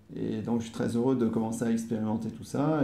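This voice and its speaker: Audible room echo surrounds a man who talks at a fairly quick pace with fairly even intonation. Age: 40s. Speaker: interviewee, host's partner. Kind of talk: casual interview. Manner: hesitant, many fillers and repetitions. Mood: calm, content. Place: home room. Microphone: camera far.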